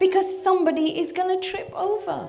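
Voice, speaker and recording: Audible room echo surrounds a woman with an extremely high pitch and an animated tone, speaking at a moderate pace. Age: 60s. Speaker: religious teacher. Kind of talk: religious talk to youth audience.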